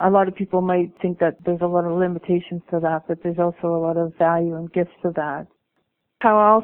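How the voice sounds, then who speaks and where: A woman with a Canadian accent talks at a fairly quick pace in a normal speaking voice, fairly low in pitch. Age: 50s. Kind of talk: interview. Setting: Skype call to phone.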